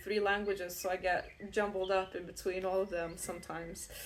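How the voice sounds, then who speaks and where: Speaking at a moderate pace, a woman with a non-native accent uses a medium pitch and monotone, flat intonation. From outside the UK, non-English-speaking country. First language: not English. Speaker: tarot reader. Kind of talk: tarot reading. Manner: casual, rambling with fillers.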